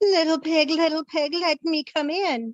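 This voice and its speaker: A squeaky, high-pitched put-on character voice moves along at a moderate pace. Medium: read story. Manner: sly, gloating.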